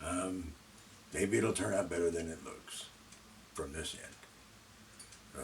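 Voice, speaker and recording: Long, frequent pauses break up a man's very slow speech, which has big swings in loudness. Audible room echo and noticeable background noise are present. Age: 70s. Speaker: vlogger. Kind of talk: unscripted monologue. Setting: alone in front of a camera. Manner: halting, with many fillers.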